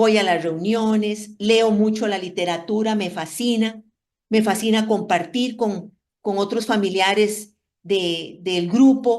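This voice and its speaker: A very slow pace with ordinary pitch variation. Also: woman. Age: 60s. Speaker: Al-Anon member sharing experience. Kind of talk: testimony.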